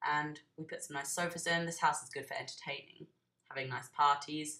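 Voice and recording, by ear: A woman puts on a character voice that is croaky, hoarse and very deep. She speaks at a fairly quick pace.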